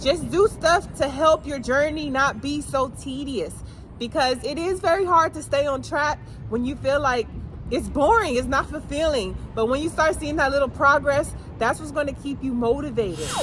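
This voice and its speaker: A woman's high-pitched voice with ordinary pitch variation, set against noticeable background noise. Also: moderate pace. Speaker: motivational speaker. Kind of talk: motivational pep talk to camera. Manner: encouraging.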